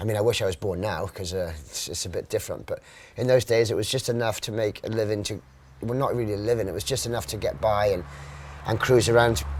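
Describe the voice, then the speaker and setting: Talking at a very fast pace, a man with a South Welsh accent has a fairly low, somewhat breathy voice. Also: ordinary pitch variation. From Wales, Mumbles (Swansea area). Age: 40s. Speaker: professional surfer. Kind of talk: casual interview.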